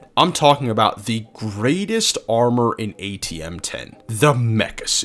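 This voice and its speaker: A man talks at medium pitch while music plays in the background. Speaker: gaming youtuber. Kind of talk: gameplay commentary narration. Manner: halting; casual.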